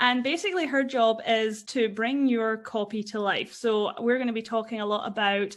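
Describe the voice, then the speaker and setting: In a Scottish accent, a woman speaks at a fairly high pitch with fairly even intonation. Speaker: podcast host. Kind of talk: casual interview chat.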